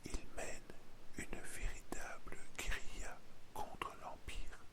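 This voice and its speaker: The voice whispers in a calm tone. It moves at a very slow pace. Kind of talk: ASMR history narration for bedtime. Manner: calm, intimate, soft-spoken, addressing the listener.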